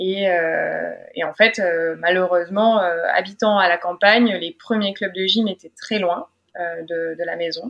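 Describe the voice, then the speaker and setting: This woman's intonation is fairly even, her pitch medium, and her pace very slow. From France, Drôme. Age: 20s. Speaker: weightlifter and sports psychologist. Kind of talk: interview testimony.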